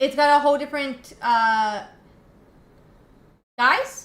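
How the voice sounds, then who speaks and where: This woman has a high voice and an American accent. Her pitch varies in an ordinary way. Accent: slight US Southern, comes out at times. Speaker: streamer. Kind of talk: live stream chat. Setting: live stream.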